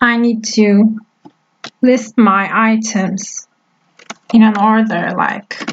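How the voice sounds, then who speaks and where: Very slowly, a woman talks in a flat monotone, leaving long, frequent pauses. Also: fairly high pitch for a woman. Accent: Turkish. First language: Turkish. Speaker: web development teacher. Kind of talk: tutorial.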